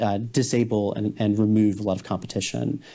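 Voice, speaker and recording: Speaking at a fairly quick pace, a man has a dark, mellow tone at a fairly low pitch with fairly even intonation. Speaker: AI policy researcher. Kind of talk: panel discussion.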